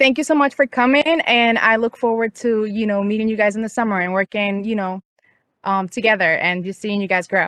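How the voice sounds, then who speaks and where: A woman with a slight Puerto Rican accent speaks at a fairly quick pace and a fairly high pitch. Her pitch variation is ordinary, and the sound is dry and close with no echo. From Puerto Rico. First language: Spanish. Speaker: graduate intern and student advocate. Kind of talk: welcome introduction on video call. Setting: outdoors, video call.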